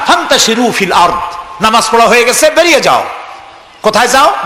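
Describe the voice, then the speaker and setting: A raised, projected voice over noticeable background noise. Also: man. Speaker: Islamic preacher. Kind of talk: Islamic sermon (waz).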